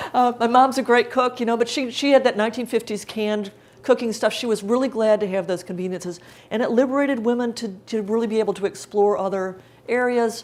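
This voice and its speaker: Very fast in pace, a woman speaks at a fairly high pitch with fairly even intonation. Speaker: cookbook author giving a cooking demonstration. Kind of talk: live cooking demonstration talk. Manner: casual, chatty.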